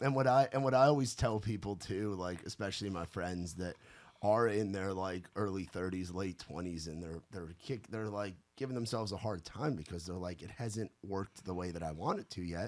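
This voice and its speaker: In a normal speaking voice, a man talks at a moderate pace with a fairly low pitch and ordinary pitch variation. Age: 30s. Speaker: podcast host. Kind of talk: casual chat.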